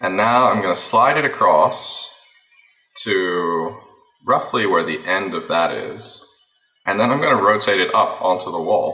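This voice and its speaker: With an American accent, a man talks at a fairly slow pace with long, frequent pauses, amid audible room echo. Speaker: FPV drone pilot and video editor. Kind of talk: tutorial. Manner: casual, thinking aloud.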